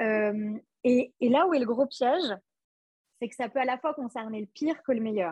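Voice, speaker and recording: A woman speaks in a high pitch at a moderate pace, with ordinary pitch variation and long, frequent pauses. The sound is dry and close, with no echo. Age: 20s. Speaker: couples therapist. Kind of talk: casual interview.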